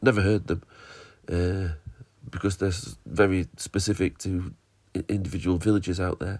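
A man's very deep, low voice with a northern English accent and fairly even intonation, music playing in the background. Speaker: podcast host. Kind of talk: casual chat.

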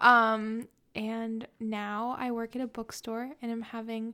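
Against a silent background in a very clean recording, a woman with an American accent speaks at a very slow pace, her fairly high pitch carrying a bright, sharp tone and fairly even intonation. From San Diego, California. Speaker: bookstore worker. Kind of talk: casual interview.

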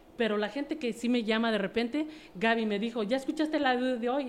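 This is an unremarkable speaking voice from a woman with a fairly high pitch. She talks at a fairly quick pace. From Mexico City. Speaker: network marketing distributor. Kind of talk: interview.

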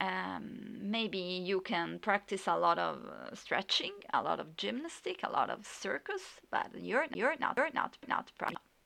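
A woman with an Italian accent at a fairly slow pace. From Italy. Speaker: podcast host and yoga teacher. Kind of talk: solo podcast monologue. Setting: home recording with USB microphone, background noise. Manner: halting, many fillers.

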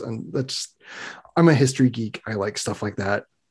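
A man's voice with vocal fry. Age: 30s. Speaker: podcast host. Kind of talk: casual chat. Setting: video call.

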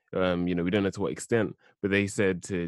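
In a London accent, a man speaks with a very deep, low pitch against a quiet background. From South London. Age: 20s. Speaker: theology student. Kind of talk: bible study discussion.

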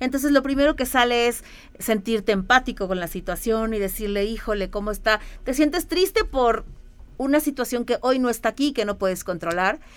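A woman's high, lively voice at a fairly quick pace, with music in the background. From Mexico City. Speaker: entrepreneur and mother. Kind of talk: radio interview. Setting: radio studio.

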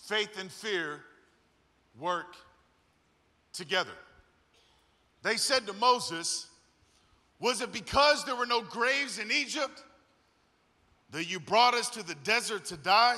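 A man's high, raised and projected voice, bright and sharp in tone, animated and lively in intonation, at a fairly slow pace with long, frequent pauses. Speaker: guest preacher. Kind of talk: sermon. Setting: church with live audience. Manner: animated, high-energy, call-and-response.

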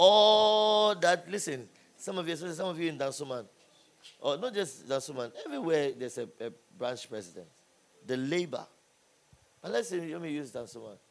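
A man with a fairly high pitch speaks in an animated tone, leaving long, frequent pauses. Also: fairly quick pace. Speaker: preacher. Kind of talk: sermon to a live youth audience. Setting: church or conference hall with live audience. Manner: animated, call-and-response, loud and exhorting the crowd; humorous, jokes and laughs between points.

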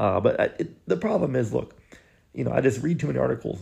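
Very fast speech from a man with vocal fry. His tone is dark and mellow. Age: 20s. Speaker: podcast host. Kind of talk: casual chat. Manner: animated.

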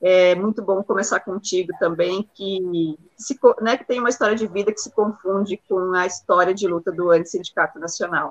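This woman has a normal speaking voice at a medium pitch with fairly even intonation. The sound is dry and close, with no echo. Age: 30s. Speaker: university professor and union official hosting the show. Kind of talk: interview.

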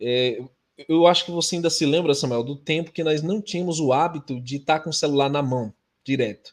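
Against a quiet background, a man with a fairly high voice talks at a moderate pace with ordinary pitch variation. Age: 40s. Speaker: religious YouTuber. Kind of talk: religious discussion livestream.

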